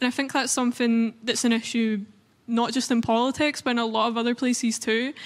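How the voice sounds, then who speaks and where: In a Scottish accent, a woman speaks at a fairly quick pace with a fairly high pitch and a monotone, flat intonation. Her loudness stays very even on a very clean recording with a silent background. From Scotland. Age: 20s. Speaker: youth activist. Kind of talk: panel discussion.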